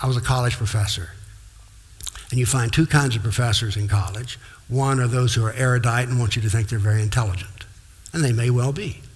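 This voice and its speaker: Speaking at a very fast pace yet with long, frequent pauses, a man with a medium pitch keeps a fairly even intonation in a room with audible echo. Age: 70s. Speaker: former professor and lecturer on Islam. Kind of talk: lecture. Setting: talk to live audience, filmed for TV.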